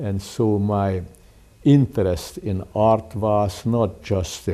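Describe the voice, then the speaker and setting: With a Hungarian accent, a man speaks in a fairly low pitch, his tone dark and mellow and his intonation fairly even. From Hungary. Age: 80s+. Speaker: artist and educator. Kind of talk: interview. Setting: home. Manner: slow.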